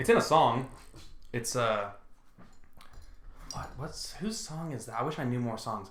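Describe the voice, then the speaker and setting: A man speaks at a fairly slow pace with long, frequent pauses and ordinary pitch variation. His voice is somewhat breathy, with audible room echo. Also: medium pitch for a man. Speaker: podcast co-host. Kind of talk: casual chat.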